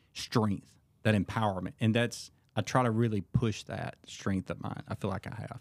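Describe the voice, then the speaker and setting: The voice is a plain, everyday voice from a man, fairly low in pitch with fairly even intonation. He speaks at a moderate pace on a very clean recording with a silent background. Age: 40s. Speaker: men's ministry leader. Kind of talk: casual chat.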